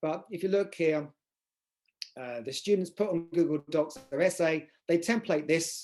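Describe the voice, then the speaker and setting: A man is speaking. His tone is dark and mellow. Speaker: university teacher presenter. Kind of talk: online conference presentation. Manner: fast; hesitant with fillers.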